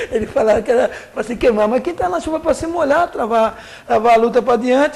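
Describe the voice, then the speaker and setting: A man speaking at a fairly quick pace. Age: 60s. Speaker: trade union leader. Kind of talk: interview.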